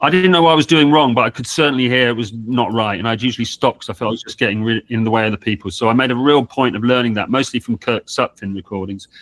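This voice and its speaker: At a very fast pace with hardly any pauses, a man with a southern English accent speaks with ordinary pitch variation in a dry, close sound with no echo and a very clean, silent background. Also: medium pitch for a man. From England. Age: 60s. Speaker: multi-instrumentalist and old-time fiddler. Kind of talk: interview. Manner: halting, many fillers and restarts.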